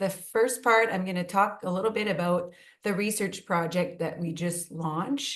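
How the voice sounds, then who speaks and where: Talking at a fairly slow pace, a woman with a French accent uses ordinary pitch variation. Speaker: nursing professor and researcher. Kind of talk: research presentation.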